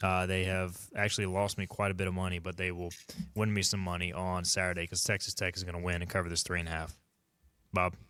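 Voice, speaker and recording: A man with a Southern US accent talks very fast in a very deep, low voice with a bright, sharp tone. His intonation stays monotone and flat in a very clean recording with a silent background. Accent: southern twang. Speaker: sports radio host. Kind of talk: casual sports talk.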